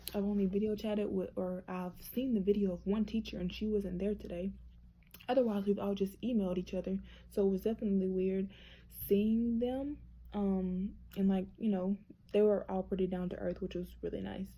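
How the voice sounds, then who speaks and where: A woman of medium pitch speaks at a fairly quick pace in a dark, mellow, somewhat breathy tone with monotone, flat intonation. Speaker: nursing student vlogger. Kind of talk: casual vlog. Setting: hotel room. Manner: fast.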